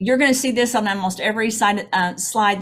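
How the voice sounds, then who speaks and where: The voice is a woman's and somewhat breathy. Her pitch varies in an ordinary way. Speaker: product developer presenting on a webinar. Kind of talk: product presentation. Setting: video call. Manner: conversational with frequent fillers.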